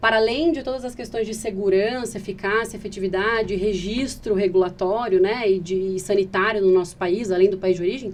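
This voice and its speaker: At a fairly quick pace with hardly any pauses, a woman talks at medium pitch with fairly even intonation. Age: 30s. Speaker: patient advocate, founder of a patient organization. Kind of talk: podcast interview. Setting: podcast recording. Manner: fast.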